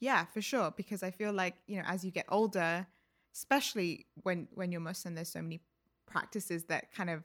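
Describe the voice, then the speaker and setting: Heard in a very clean recording with a silent background, the speaker has a London accent and uses fairly even intonation at a moderate pace. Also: woman. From England, London (Ealing). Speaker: artist and gallery director. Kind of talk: casual interview chat.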